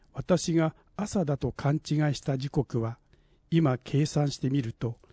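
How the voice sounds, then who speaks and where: Over a quiet background, a man with a fairly high pitch and a dark, mellow, somewhat breathy tone speaks very slowly, with ordinary pitch variation. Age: 60s. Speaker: essay contest winner. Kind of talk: reading aloud.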